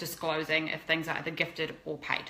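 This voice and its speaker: A woman speaks in a very deep, low pitch. Noticeable background noise runs beneath her. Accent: New Zealand. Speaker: fashion blogger and influencer. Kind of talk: interview. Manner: fast.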